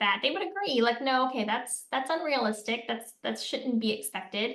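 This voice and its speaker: Loud and lively in intonation, a woman speaks with an American accent. Her pace is moderate. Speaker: political commentator. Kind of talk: interview conversation.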